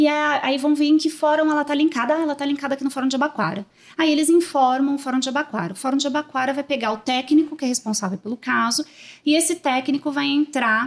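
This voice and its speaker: Very fast speech from a woman with a high pitch and ordinary pitch variation. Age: 30s. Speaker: social worker, manager of a children's shelter. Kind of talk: interview.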